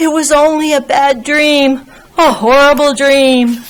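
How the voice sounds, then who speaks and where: A woman uses a put-on character voice, pitched high and delivered at a fairly slow pace. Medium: read story. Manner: gruff, brash.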